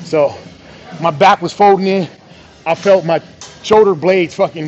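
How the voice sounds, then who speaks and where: A high-pitched man at a moderate pace with ordinary pitch variation, faint music in the background. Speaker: fitness trainer. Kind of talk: tutorial. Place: gym.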